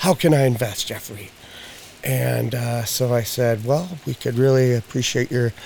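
A man with an American accent speaks at a medium pitch and a fairly slow pace. Background noise is noticeable. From Spokane, eastern Washington. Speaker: pet CBD product maker. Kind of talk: casual chat.

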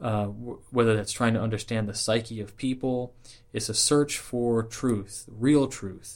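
A man's plain, everyday voice at a medium pitch, with an American accent, at a moderate pace, on a very clean recording with a silent background. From Southern California. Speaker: Freemason and podcaster. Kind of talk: interview.

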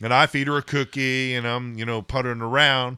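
This man has a bright, sharp tone and a medium pitch. His intonation is fairly even. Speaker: podcast co-host. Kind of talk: casual chat.

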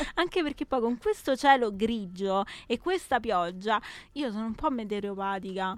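A woman with a normal speaking voice talks at a moderate pace, fairly high in pitch and lively in intonation, on a very clean recording with a silent background. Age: 20s. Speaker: radio host. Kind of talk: casual radio chat. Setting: studio. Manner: playful.

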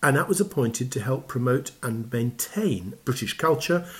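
Somewhat breathy and medium in pitch, a man's voice moves with lively intonation. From England. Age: 70s. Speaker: arts festival executive. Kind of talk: interview.

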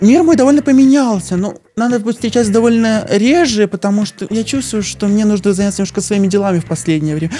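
Noticeable background noise runs under the recording. A man talks at a very fast pace in a high voice. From Belarus, Novopolotsk. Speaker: podcast guest. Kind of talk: casual chat.

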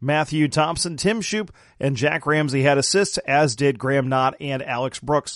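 A man's unremarkable speaking voice, fairly high in pitch, at a moderate pace with ordinary pitch variation against a quiet background. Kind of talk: live commentary.

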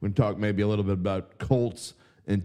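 A man's fairly low voice, dark and mellow in tone, at a fairly quick pace. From New Orleans. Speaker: sports betting writer and podcast host. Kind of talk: casual sports talk show. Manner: animated, opinionated.

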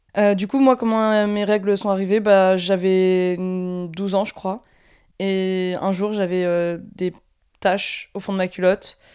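A woman speaks very slowly at a medium pitch in a dark, mellow tone and a flat monotone, on a very clean recording with a silent background. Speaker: podcast host. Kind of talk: casual chat. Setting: recording at parents' house.

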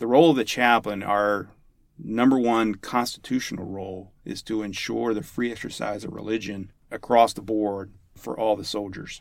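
Using an unremarkable speaking voice, a man talks at a moderate pace with ordinary pitch variation and big swings in loudness. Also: fairly low pitch for a man. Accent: American. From US, West Virginia (Huntington). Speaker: army chaplain. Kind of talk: interview.

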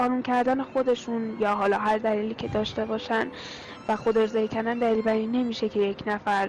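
A woman's fairly high voice, monotone and flat, at a fairly quick pace over noticeable background noise.

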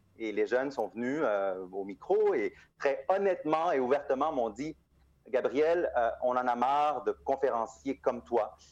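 In a plain, everyday voice, a man talks at a fairly slow pace with a fairly high pitch and lively intonation. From Montreal, Quebec (born in Guatemala). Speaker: nonprofit founder. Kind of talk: interview.

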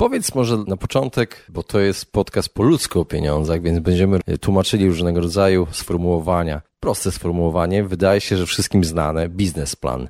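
In a very clean recording with a silent background and a dry, close sound with no echo, a man speaks fairly quickly at a very deep, low pitch with ordinary pitch variation. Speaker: podcast host. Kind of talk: scripted narration; interview.

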